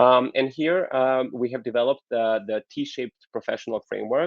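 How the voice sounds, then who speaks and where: This man's pace is moderate and his pitch medium. His intonation stays fairly even. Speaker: keynote speaker on HR development. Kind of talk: conference keynote presentation. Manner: hesitant, many fillers.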